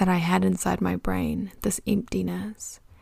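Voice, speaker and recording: In a very clean recording with a silent background, a woman speaks with a New Zealand accent. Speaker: podcast host. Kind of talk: casual solo monologue. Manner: talkative, chatty.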